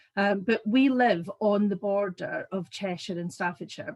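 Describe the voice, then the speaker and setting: Someone speaks in a somewhat breathy voice with a Scottish accent. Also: woman. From Scotland. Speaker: business owner. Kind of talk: business presentation.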